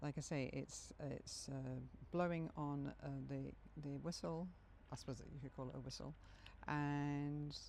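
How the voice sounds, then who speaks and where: Against audible room echo, a woman speaks at a fairly slow pace. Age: 70s. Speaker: video blogger. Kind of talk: casual personal vlog. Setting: outdoors in the woods. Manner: halting.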